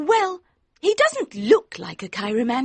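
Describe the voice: Against a quiet background, the text is read aloud plainly.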